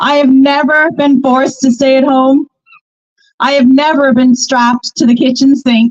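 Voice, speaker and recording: At a moderate pace and very even loudness, a high-pitched woman talks with monotone, flat intonation in a dry, close sound with no echo. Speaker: community activist. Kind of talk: protest speech.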